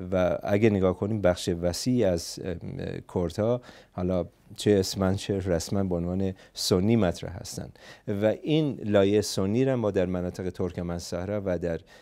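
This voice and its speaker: Speaking at a moderate pace with a Kurdish accent, a man uses ordinary pitch variation and a dark, mellow tone. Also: fairly low pitch for a man, quiet background. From Iranian Kurdistan (Saqqez); Iranian Kurdistan. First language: Kurdish (speaking Persian). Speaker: psychotherapist and political activist; interview guest. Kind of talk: interview; interview answer. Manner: halting. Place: studio. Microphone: lapel.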